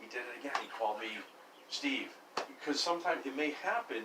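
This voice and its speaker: A man's fairly high-pitched voice, with audible room echo and noticeable background noise. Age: 60s. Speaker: landlord. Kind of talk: casual chat.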